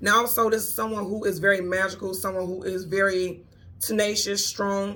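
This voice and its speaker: Audible room echo surrounds a woman with a medium-pitched voice. She speaks in a monotone, with flat intonation. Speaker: tarot reader. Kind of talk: tarot reading. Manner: casual, conversational.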